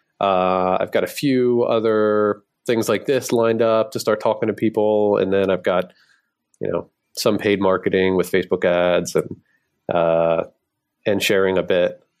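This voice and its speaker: Over a quiet background, a man with a plain, everyday voice and an American accent talks at a moderate pace with fairly low pitch, fairly even intonation, and very even loudness. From US Northeast, Philadelphia. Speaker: game designer. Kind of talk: interview.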